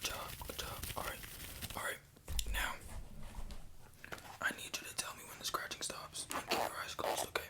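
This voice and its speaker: A man whispers with long, frequent pauses and big swings in loudness. Noticeable background noise runs underneath. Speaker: ASMR creator doing a medical roleplay. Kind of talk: ASMR medical roleplay, talking directly to the listener. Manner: fast, repetitive, chaotic, encouraging.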